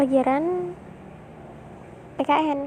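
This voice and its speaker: A woman speaks in a high voice. Noticeable background noise runs behind her. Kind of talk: casual storytelling to a partner about school days. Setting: recorded near a road with traffic noise. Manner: soft, intimate.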